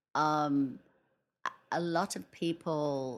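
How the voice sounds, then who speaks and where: A woman speaks with an English accent and fairly even intonation. The recording is very clean, with a silent background. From England. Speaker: wedding planner. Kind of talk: casual interview. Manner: hesitant, with frequent fillers.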